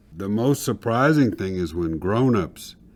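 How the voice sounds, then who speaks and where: A man speaks with lively intonation at a fairly slow pace, in a very clean recording with a silent background. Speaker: person who stutters, speaker. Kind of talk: personal testimony.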